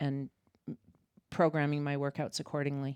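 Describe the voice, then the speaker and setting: At a moderate pace, a woman speaks with a very deep, low pitch in a very clean recording that is dry and close with no echo against a silent background. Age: 60s. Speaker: mother of the co-host, older fitness trainee. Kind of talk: casual interview. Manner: halting.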